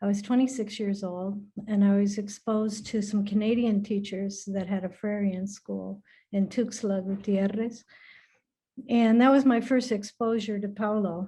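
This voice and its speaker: A somewhat breathy woman's voice of medium pitch, dark and mellow in tone, with monotone, flat intonation at a moderate pace against a quiet background. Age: 60s. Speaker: retired educator, alumna. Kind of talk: personal testimony in a video call.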